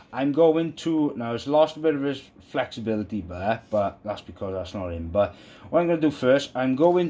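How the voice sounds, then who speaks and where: A man with a Welsh accent speaks at a moderate pace. His voice is fairly high, with lively intonation. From Wales. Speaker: YouTuber, PC modding. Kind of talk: tutorial; casual tutorial. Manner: casual, halting. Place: home room.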